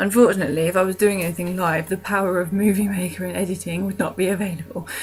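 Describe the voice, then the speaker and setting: A woman with a British accent at a medium pitch, talking very fast over noticeable background noise. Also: fairly even intonation. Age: 20s. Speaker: vlogger. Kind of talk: casual vlog monologue. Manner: hesitant, many ums.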